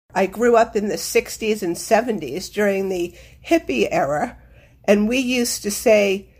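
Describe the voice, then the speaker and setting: A woman in a normal speaking voice talks with a fairly high pitch and normal pitch movement. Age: 60s. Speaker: listener. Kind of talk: voice memo.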